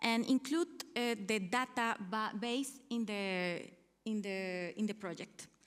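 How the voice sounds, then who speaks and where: Speaking fairly slowly with a Spanish accent, a woman uses a fairly high pitch and ordinary pitch variation. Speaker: researcher. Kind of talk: conference talk. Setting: conference hall. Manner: halting.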